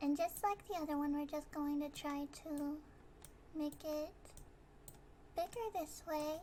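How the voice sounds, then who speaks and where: A woman with a high pitch talks at a fairly slow pace, leaving long, frequent pauses. Her intonation stays fairly even. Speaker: vtuber. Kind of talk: software tutorial narration. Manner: hesitant, stammering.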